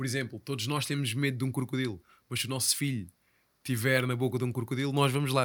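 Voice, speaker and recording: A man with a European Portuguese accent at medium pitch and a fairly quick pace, on a very clean recording with a silent background. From Portugal, Ribatejo. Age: 30s. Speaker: podcast host. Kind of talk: casual interview chat.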